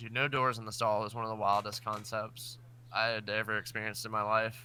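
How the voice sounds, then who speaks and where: A man's medium-pitched voice, bright and sharp in tone, with flat, monotone intonation and a fairly quick pace. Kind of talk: casual chat. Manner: halting.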